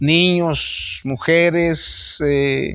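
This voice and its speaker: The man speaks in a high voice. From Guatemala, San Martín Jilotepeque area. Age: 70s. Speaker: displaced victim of armed conflict. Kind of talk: interview testimony. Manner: halting.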